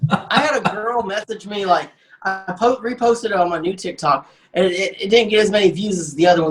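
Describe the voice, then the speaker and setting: Over background music, a man talks at a fairly quick pace in a high pitch. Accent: Southern US. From Arkansas. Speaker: comedian. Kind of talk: casual chat. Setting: studio. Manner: halting.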